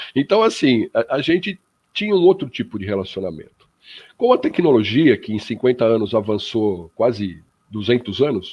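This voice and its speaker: Very wide pitch swings in a man's voice set at a medium pitch. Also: moderate pace. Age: 60s. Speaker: spiritist radio panelist. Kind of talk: radio panel discussion. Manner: hesitant, many fillers.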